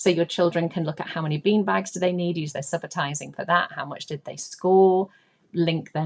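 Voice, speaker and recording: This woman has a fairly low voice. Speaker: early years maths trainer. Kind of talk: webinar presentation. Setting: online webinar call. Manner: fast.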